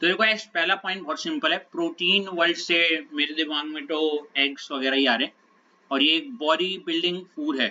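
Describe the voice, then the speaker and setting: A man with a high pitch and a bright, sharp tone, moderate pace and ordinary pitch variation. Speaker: chemistry teacher. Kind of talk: lecture.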